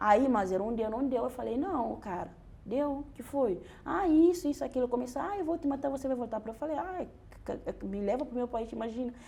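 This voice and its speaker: At a fairly quick pace, a woman talks with high pitch and lively intonation. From Guinea-Bissau. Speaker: doctoral researcher. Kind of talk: interview conversation, personal testimony. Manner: halting, with repetitions and restarts.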